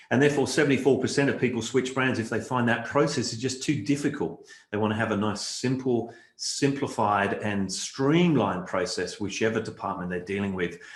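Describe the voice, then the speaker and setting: A somewhat breathy man with an Australian accent at a medium pitch, fairly quick pace and ordinary pitch variation, with audible room echo. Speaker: keynote speaker, marketing strategist. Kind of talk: virtual conference keynote. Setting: virtual online event. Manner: conversational with frequent fillers.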